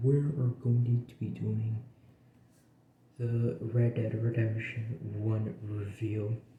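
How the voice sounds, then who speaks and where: A man speaks at a very slow pace in a dark, mellow tone that is somewhat breathy. His pitch is medium for a man. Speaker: game reviewer. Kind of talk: casual game review. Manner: halting, filler-heavy.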